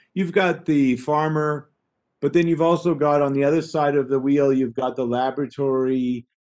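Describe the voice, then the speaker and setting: An unremarkable speaking voice moves at a moderate pace with fairly even intonation over a quiet background. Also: man, fairly high pitch for a man. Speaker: trade and export consultant; webinar presenter. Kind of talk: webinar presentation. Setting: video call. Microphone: webcam.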